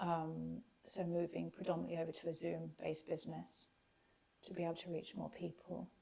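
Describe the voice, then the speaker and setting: At a moderate pace, a woman speaks with a southern English accent. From England, West Sussex. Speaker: transformation coach. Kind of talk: interview. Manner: halting.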